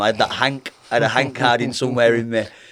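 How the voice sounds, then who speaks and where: The speaker has a strong Lancashire accent. The recording is very clean, with a silent background. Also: man. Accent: thick Lancashire. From northern England, Lancashire (Burnley). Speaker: professional boxer. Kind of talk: podcast interview.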